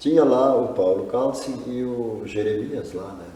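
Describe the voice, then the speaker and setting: A man talks at a fairly slow pace in a room with audible echo and noticeable background noise. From southern Brazil, rural. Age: 60s. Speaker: poultry farmer. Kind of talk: interview.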